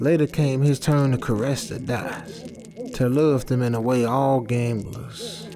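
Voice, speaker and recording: A dramatic tone at a very slow pace, with noticeable background noise. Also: man. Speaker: story narrator. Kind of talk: literary audiobook reading. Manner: measured, atmospheric storytelling pace; dramatic, brooding tone.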